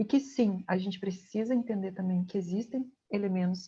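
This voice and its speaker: Her voice is dark, mellow and somewhat breathy, and the woman speaks at a moderate pace. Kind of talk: lecture.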